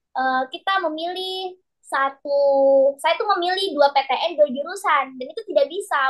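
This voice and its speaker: A woman is speaking. Her intonation is lively. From Sulawesi, Indonesia. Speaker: private math tutor. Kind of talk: online class teaching.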